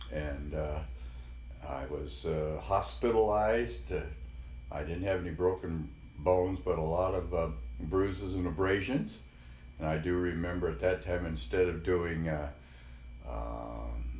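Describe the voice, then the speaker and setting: A man with a General American accent speaks at a fairly slow pace in a very deep, low voice with vocal fry and lively intonation. He leaves long, frequent pauses, and audible room echo surrounds him. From Colorado, Denver. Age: 70s. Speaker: grandfather interviewee. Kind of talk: oral history interview. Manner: halting, many fillers.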